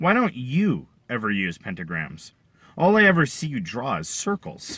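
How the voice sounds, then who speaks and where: Using a put-on character voice, a man talks at a moderate pace with very wide pitch swings. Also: medium pitch for a man. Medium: read story. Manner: blunt, dryly teasing.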